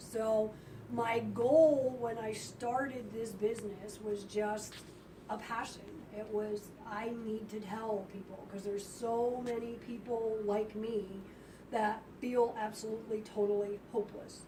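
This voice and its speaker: Speaking fairly slowly in a fairly high pitch, a woman keeps a monotone, flat intonation while audible room echo and noticeable background noise surround her. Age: 50s. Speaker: health spa owner. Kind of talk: talk to audience. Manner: conversational.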